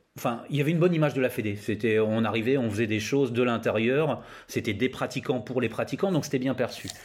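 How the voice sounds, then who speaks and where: Talking at a very fast pace, a man holds a very even loudness, his medium pitch showing ordinary variation. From northern France, Laon (Aisne). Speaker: skatepark consultant, former roller skater. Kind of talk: interview, casual chat.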